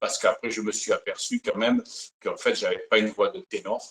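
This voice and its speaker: A man with a strong southern French accent. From Provence, southern France. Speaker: singer, Elvis impersonator. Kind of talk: interview. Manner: hesitant, many fillers.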